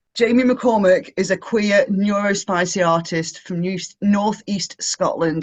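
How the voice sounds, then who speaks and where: A man with an English accent speaks at a fairly slow pace with ordinary pitch variation. The background is quiet. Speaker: online event host. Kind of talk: event hosting, reading a bio. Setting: video call. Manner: animated.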